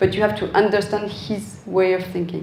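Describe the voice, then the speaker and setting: There is audible room echo and noticeable background noise around this woman. She talks at a moderate pace and medium pitch, with fairly even intonation. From France. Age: 40s. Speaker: designer. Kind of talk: Q&A talk.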